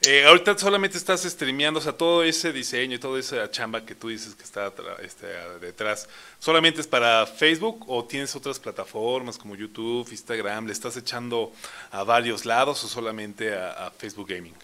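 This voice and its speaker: Bright and sharp in tone, a man's voice shows big swings in loudness. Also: medium pitch for a man, lively intonation, fairly quick pace. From Mexico. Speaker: podcast host. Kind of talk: interview.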